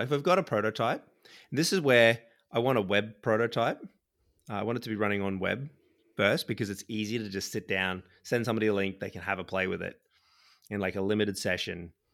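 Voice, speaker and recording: On a very clean recording with a silent background, a man speaks very fast at a fairly low pitch with ordinary pitch variation. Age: 30s. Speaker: software developer and podcast co-host. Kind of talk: casual chat.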